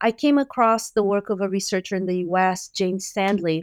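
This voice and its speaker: A woman with a Portuguese accent is heard in a very clean recording with a silent background and a dry, close sound with no echo. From Brazil. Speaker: music education professor. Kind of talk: interview.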